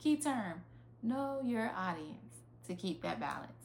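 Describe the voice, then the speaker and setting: The speaker has a Southern US accent, and audible room echo surrounds the voice. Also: woman. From US South, rural. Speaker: life coach. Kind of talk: online master class. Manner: casual, conversational.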